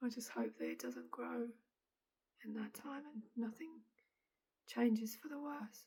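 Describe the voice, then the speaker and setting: A woman with an English accent at a fairly slow pace, with long, frequent pauses. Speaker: vlogger. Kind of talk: personal video diary.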